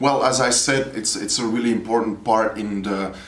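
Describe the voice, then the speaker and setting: This man has a fairly low pitch and talks at a moderate pace. Room echo is audible. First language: Dutch. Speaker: poet and educator. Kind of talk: interview. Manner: halting, with repetitions and hesitations.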